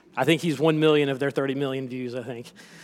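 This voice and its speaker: A man's fairly high voice with a slight South Carolina accent and fairly even intonation. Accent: slight Southern (South Carolina). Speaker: lay preacher. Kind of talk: sermon. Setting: church.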